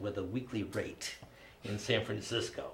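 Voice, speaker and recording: A medium-pitched man at a fairly slow pace, amid noticeable background noise and audible room echo. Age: 50s. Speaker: comedy show host. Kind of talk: personal storytelling on a comedy panel.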